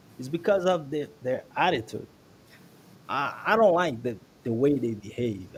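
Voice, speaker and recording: Somewhat breathy, a man speaks at a moderate pace with lively intonation and big swings in loudness. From Brazil. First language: Portuguese. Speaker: guest commentator. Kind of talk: casual chat. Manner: halting.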